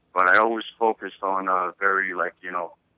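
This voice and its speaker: A man speaks in an Albanian accent at a moderate pace. His very deep, low voice stays in a monotone, flat intonation. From Kosovo. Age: 30s. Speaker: author. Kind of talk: interview. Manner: halting.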